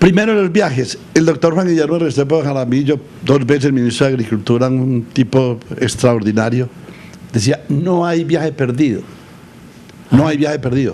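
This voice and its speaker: A man's fairly high-pitched voice at a moderate pace, with ordinary pitch variation and noticeable background noise. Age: 80s+. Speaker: agricultural leader. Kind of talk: interview. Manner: halting.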